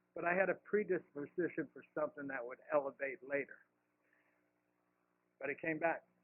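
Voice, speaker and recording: A man with a fairly high pitch and an American accent talks at a moderate pace, with ordinary pitch variation, big swings in loudness and long, frequent pauses. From California. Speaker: CEO of a peer recovery art nonprofit. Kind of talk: conference talk.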